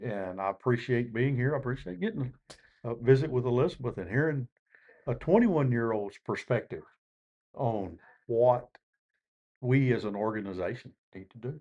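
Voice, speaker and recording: Long, frequent pauses break up a dark, mellow tone that shows big swings in loudness. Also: man, medium pitch for a man, ordinary pitch variation, moderate pace. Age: 60s. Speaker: fire service veteran. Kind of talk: podcast panel discussion. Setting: live at a conference.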